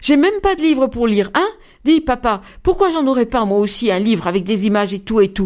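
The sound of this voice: Someone reads in an unforced reading voice.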